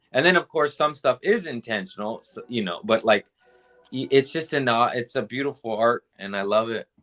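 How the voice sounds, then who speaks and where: With music in the background, a man with an American accent speaks at a moderate pace and medium pitch, with lively intonation and a dry, close sound with no echo. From Southern California. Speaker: comedian and podcast host. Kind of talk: casual chat.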